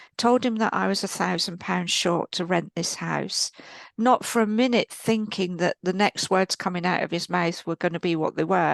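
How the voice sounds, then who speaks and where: A woman with an English accent talks at a moderate pace with a medium pitch and ordinary pitch variation. The sound is dry and close with no echo, and the background is quiet. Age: 60s. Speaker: spiritual teacher and healer. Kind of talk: podcast interview, personal testimony.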